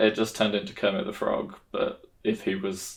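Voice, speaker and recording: Talking fairly briskly, the man holds a mid-range pitch. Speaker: tabletop roleplay player and video host. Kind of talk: casual vlog monologue. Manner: monotone.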